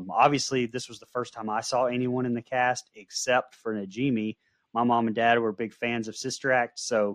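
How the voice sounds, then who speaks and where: An unremarkable speaking voice moves at a fairly quick pace with fairly even intonation, dry and close with no echo over a quiet background. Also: man. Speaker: podcast co-host. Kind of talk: casual movie review chat.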